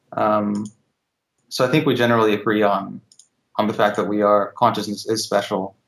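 Speaking at a moderate pace with long, frequent pauses, a man holds a fairly low pitch, very even loudness and fairly even intonation. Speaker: caller. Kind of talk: call-in conversation. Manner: monotone.

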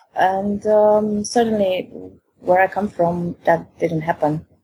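A woman with a Romanian accent speaks in a somewhat breathy voice. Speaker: caller. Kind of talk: call-in conversation. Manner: halting.

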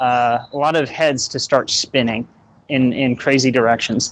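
A plain, everyday voice of a man, medium in pitch, with fairly even intonation at a fairly slow pace. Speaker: caller. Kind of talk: casual chat. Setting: voice chat call.

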